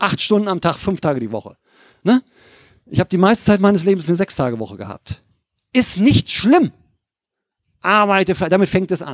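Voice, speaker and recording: Recorded dry and close with no echo, a man talks at a fairly quick pace in a high voice with lively intonation, stopping often for long pauses. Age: 50s. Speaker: lay preacher. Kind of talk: sermon.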